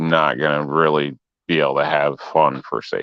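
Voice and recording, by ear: A man talks at an extremely low pitch with fairly even intonation.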